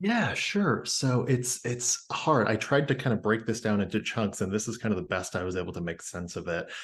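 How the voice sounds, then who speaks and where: With an American accent, a man speaks at a moderate pace with hardly any pauses, a medium pitch, lively intonation and a somewhat breathy quality. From US Midwest, Indiana. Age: 30s. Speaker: podcast guest sharing personal story. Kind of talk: casual interview.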